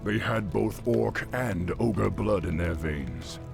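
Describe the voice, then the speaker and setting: Over loud background music, a man in a put-on character voice speaks at a very slow pace with a very deep, low pitch and a calm tone. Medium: video game. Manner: authoritative, calm.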